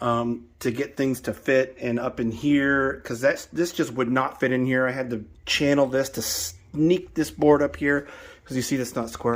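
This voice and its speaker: The recording is very clean, with a silent background. A man speaks at a moderate pace and medium pitch, with ordinary pitch variation. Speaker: DIY channel host. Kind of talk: casual DIY vlog.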